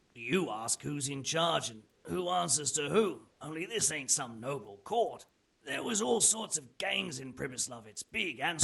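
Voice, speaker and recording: In a put-on character voice, a man speaks raspily at a fairly high pitch and a moderate pace, his pitch swinging very widely. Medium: video game. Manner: coarse, colloquial.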